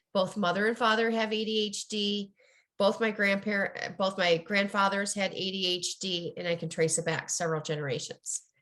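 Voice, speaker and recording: Against a quiet background, a woman speaks at a medium pitch and moderate pace with fairly even intonation. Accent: Midwestern. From US Midwest. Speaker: ADHD coach and author. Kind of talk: interview.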